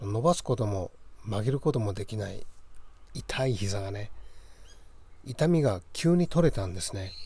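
A man speaks with lively intonation and a dark, mellow tone, his somewhat breathy voice broken by long, frequent pauses. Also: medium pitch for a man, moderate pace. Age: middle-aged. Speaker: podcast host, yoga practitioner. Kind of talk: casual monologue. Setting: outdoors on a balcony.

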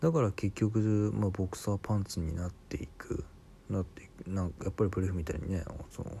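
He has a very deep, low voice. The man speaks at a fairly quick pace. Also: ordinary pitch variation. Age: 30s. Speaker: podcaster. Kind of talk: solo monologue. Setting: home recording late at night. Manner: casual, filler-heavy.

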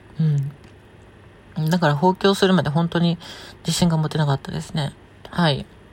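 In a relaxed tone, a woman with a very deep, low pitch speaks with fairly even intonation. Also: moderate pace. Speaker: podcast host, transgender woman answering listener questions. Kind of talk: casual solo talk. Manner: relaxed, with frequent laughs.

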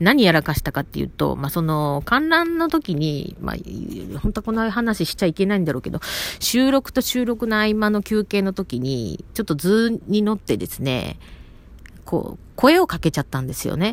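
In a Kansai accent, a woman talks at a moderate pace. Her pitch swings very widely. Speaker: podcaster. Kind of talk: casual monologue. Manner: rambling, self-interrupting.

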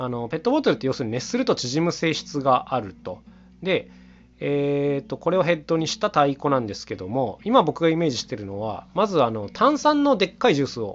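A man speaks at a fairly quick pace. His fairly high voice swings very widely in pitch. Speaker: solo podcaster and instrument maker, household-goods music duo member. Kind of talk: solo monologue podcast. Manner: very fast talking; filler-heavy casual speech.

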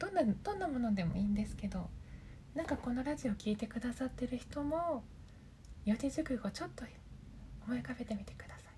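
With long, frequent pauses, a woman speaks in a high pitch with very wide pitch swings, over noticeable background noise. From Japan, Aichi Prefecture. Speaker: voice coach and podcast host. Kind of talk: casual solo talk. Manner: halting, stumbling over words.

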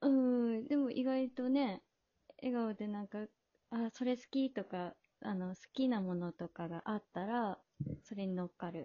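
A woman's fairly high-pitched voice in a Fukuoka accent, at a fairly slow pace with ordinary pitch variation. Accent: Hakata dialect. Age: 30s. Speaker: podcast guest. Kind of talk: casual chat.

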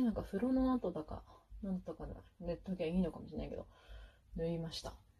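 The woman's voice is somewhat breathy. She speaks at a medium pitch with ordinary pitch variation. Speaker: podcaster. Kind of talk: casual monologue while doing makeup. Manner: casual, chatty with laughter.

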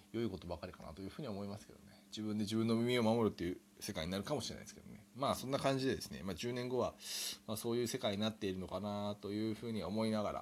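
A man talks at a very fast pace with a fairly low pitch and ordinary pitch variation. His loudness swings widely. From Japan. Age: 30s. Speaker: podcaster. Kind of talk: solo improvised monologue. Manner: hesitant, many fillers.

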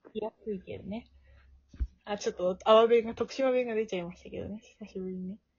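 Fairly high in pitch, a woman speaks at a fairly quick pace with fairly even intonation, big swings in loudness, and long, frequent pauses. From Tokushima, Japan. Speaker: podcast co-host. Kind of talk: casual chat.

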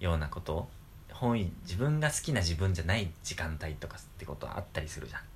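Background noise is noticeable. The pitch swings very widely. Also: man, very deep, low pitch for a man. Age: 20s. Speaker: podcast co-host. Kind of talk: casual chat. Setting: home.

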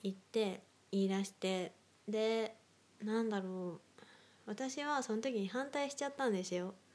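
A woman speaking at a fairly slow pace, with ordinary pitch variation. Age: 20s. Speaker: solo podcaster. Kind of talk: casual monologue.

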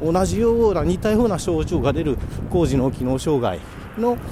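A high-pitched man speaks with very wide pitch swings over noticeable background noise. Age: 40s. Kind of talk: casual solo talk. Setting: walking outdoors on the way to work, hands-free recording. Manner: halting with many fillers.

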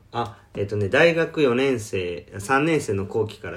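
A somewhat breathy man at a fairly slow pace. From Osaka, Japan. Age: 30s. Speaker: para swimmer and podcast co-host. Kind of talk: casual self-introduction interview.

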